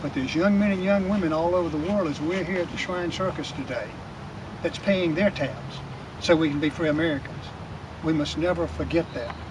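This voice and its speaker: Amid noticeable background noise, a man with a high pitch talks at a fairly quick pace and fairly even intonation. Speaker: Shriner and American Legion volunteer. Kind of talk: speech at veterans meeting.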